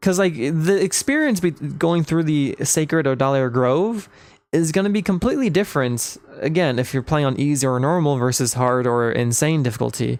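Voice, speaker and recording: Here a man talks at a moderate pace with a fairly high pitch and ordinary pitch variation. His loudness stays very even. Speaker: live streamer. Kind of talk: casual chat. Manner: halting, many repetitions.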